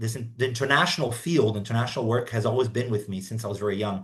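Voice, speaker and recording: A man speaks in a somewhat breathy voice of medium pitch, with ordinary pitch variation. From Brazilian, raised in Africa and Asia. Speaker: international business consultant. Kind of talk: podcast interview. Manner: hesitant, many repetitions.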